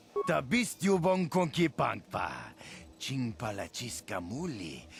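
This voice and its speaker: A put-on character voice from a man, medium in pitch, fairly slow, with very wide pitch swings. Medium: video game. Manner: fluent alien babble.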